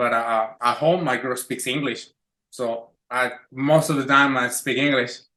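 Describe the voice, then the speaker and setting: A man with a Spanish accent speaks fairly slowly at a medium pitch. His tone is bright and sharp, his intonation fairly even. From Mexico City. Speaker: chef. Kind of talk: casual chat.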